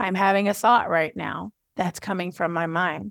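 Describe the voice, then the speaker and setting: A woman's unremarkable speaking voice at a medium pitch and moderate pace, dry and close with no echo. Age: 40s. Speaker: podcast host and writing coach. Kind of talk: teaching talk.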